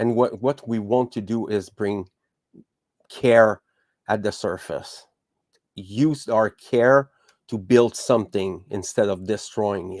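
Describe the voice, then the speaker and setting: On a very clean recording with a silent background, a man at medium pitch speaks very slowly in a French accent, with long, frequent pauses. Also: fairly even intonation, dry, close sound with no echo. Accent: French accent, still noticeable. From Quebec. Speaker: podcast host. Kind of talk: podcast monologue. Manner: halting, many fillers and restarts.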